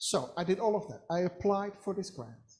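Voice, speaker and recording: A woman speaks at a fairly slow pace with a Dutch accent. Her tone is dark and mellow, and somewhat breathy. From Netherlands. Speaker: psychology academic. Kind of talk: webinar talk.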